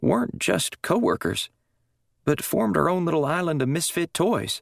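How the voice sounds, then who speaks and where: A raspy, put-on character voice from a man, fairly high in pitch, at a moderate pace and very even loudness. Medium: read story. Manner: blunt, profane.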